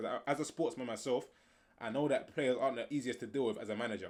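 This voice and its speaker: At a medium pitch, a man rattles along at a very fast pace. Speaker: streamer. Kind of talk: live stream reaction. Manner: animated.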